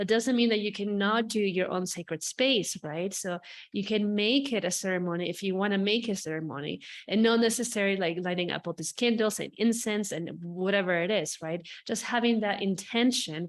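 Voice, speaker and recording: A fairly quick pace with ordinary pitch variation. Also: woman, medium pitch for a woman. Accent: non-native. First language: not English. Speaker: spiritual healer. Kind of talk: podcast monologue. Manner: animated.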